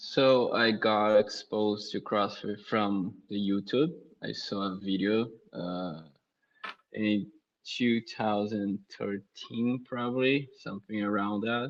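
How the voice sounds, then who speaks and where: A man's fairly low voice with a Brazilian accent, very slow and fairly even in intonation. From southern Brazil (Blumenau). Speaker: CrossFit coach. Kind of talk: casual interview.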